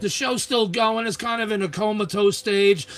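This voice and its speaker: Over noticeable background noise, a man with a Long Island accent speaks at a fairly quick pace with fairly even intonation. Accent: New York (Long Island). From Long Island, New York. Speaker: Mars researcher and internet show host. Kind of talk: casual chat.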